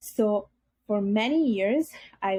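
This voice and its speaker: A woman's voice comes through somewhat breathy, with a dark, mellow tone. The sound is dry and close, with no echo. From Italy, Bangladeshi parents. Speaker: podcast guest. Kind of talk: interview testimony.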